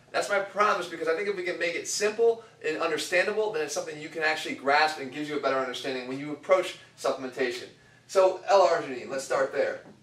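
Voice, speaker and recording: The speech comes at a very fast pace with ordinary pitch variation, and audible room echo surrounds it. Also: man, high pitch for a man. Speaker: fitness coach. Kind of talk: lecture. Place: empty room.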